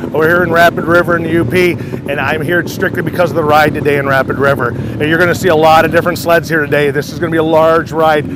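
A man at a very fast pace, dry sound with no echo, noticeable background noise. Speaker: interviewee. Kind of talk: interview answer. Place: open country.

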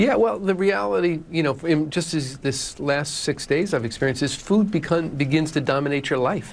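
The man's intonation is lively, and he talks at a moderate pace. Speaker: interview guest. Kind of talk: interview answer. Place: studio. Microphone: lapel.

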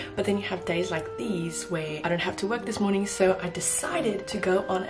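A woman, with clear music in the background. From South Africa. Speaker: au pair. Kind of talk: casual vlog talk to camera. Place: home room. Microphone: phone near.

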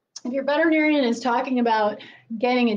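A woman's high-pitched voice with fairly even intonation. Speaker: presenter. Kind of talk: lecture. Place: classroom. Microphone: camera far.

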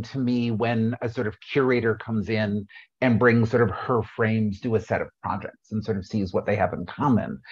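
A quiet background behind a man at a moderate pace. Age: middle-aged. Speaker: panel moderator. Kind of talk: moderated panel discussion. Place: home room. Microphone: video call.

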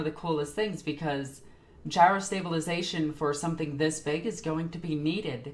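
A woman speaks with a very deep, low pitch. Her pitch varies in an ordinary way. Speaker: streamer reacting to a video. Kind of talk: commentary. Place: home room.

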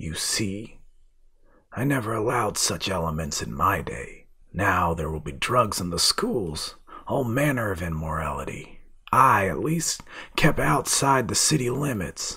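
A man puts on a raspy character voice with a fairly low pitch and very wide pitch swings. He keeps a moderate pace. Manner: malicious, gloating.

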